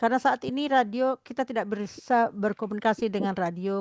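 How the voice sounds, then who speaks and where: A woman's plain, everyday voice at a moderate pace, fairly even in intonation, with a dry, close sound, no echo and a quiet background. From West Java, Bandung. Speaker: program host. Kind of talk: online discussion program. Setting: Zoom call streamed on radio.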